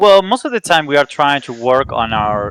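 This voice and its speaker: With a Spanish accent, a man of medium pitch speaks at a moderate pace with lively intonation in a dry, close sound with no echo. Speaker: esports player. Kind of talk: interview.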